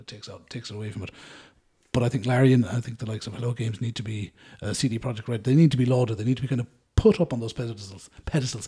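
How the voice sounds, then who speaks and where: A man talks very fast at a medium pitch with an Irish accent, his tone dark, mellow and somewhat breathy. His intonation is fairly even, but his loudness swings widely. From Ireland. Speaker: podcast host. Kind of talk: casual chat.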